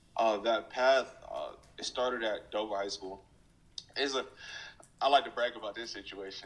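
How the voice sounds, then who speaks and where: A man speaks in a normal speaking voice with an American accent. His pitch is medium and his intonation fairly even. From US, military family, mostly North Carolina. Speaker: football player, draft prospect. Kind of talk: interview. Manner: casual, many filler words.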